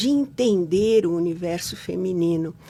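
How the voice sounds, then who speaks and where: This woman's voice has a dark, mellow tone and fairly low pitch, moving at a very slow pace with ordinary pitch variation. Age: 70s. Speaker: psychologist. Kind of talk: interview.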